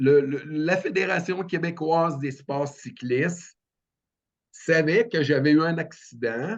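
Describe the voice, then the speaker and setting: A man with a Quebec accent, at a very slow pace. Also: fairly high pitch for a man, ordinary pitch variation. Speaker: paralympic cyclist. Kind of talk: podcast interview. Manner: halting.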